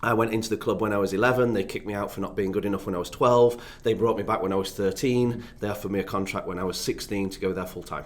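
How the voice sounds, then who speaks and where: A man with an English accent and a fairly low pitch, at a very fast pace with hardly any pauses and fairly even intonation. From northern England, Doncaster near Sheffield. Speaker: youth development consultant, former academy footballer. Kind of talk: podcast interview.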